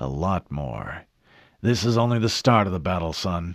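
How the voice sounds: A man uses a put-on character voice, low-pitched with big pitch swings. The recording is very clean, with a silent background. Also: moderate pace.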